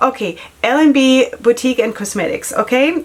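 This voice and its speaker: With noticeable background noise behind her, a woman speaks in an animated tone with a non-native accent. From Germany. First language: not English. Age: 40s. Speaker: beauty vlogger and makeup artist. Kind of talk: casual product review vlog. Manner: chatty, animated.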